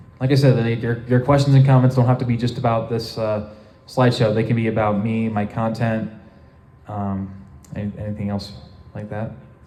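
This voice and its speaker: A man's dark, mellow voice at a medium pitch, flat and monotone, fairly quick yet broken by long, frequent pauses, in a room with audible echo. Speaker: convention panel presenter. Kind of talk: convention panel Q&A. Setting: convention panel room with audience. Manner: halting, many fillers.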